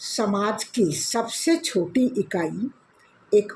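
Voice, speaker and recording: Here a woman speaks with a fairly high pitch. Her pitch swings very widely. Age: 70s. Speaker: senior citizens' club member. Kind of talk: prepared speech. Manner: formal.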